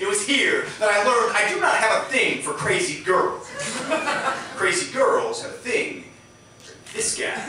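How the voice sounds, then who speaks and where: A man at a fairly slow pace with long, frequent pauses over noticeable background noise. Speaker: slam poet. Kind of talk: spoken word poetry performance at a poetry slam.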